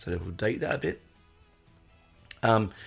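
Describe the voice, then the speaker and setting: Music plays in the background as a man speaks at a fairly low pitch with an Australian accent. His pitch varies in an ordinary way. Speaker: podcast host. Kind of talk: casual podcast monologue. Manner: hesitant, many fillers.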